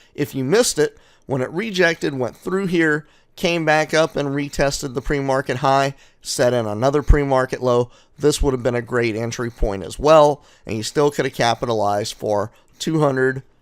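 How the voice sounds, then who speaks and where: The speech moves at a moderate pace with ordinary pitch variation, on a very clean recording with a silent background. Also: man, fairly high pitch for a man. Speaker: day trading educator. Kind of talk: market recap tutorial. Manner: loud, in your face; animated.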